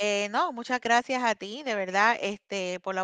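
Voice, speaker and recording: A woman speaks in a bright, sharp tone at a moderate pace. The sound is dry with no echo, and the background is quiet. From Puerto Rico (born in Ecuador). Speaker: app community member; guest. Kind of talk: interview. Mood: warm, grateful. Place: home room. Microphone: video call.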